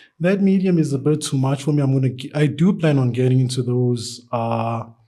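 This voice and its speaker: Medium-pitched man with a dark, mellow tone and a fairly quick pace. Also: ordinary pitch variation, very even loudness. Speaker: artist. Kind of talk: interview. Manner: halting.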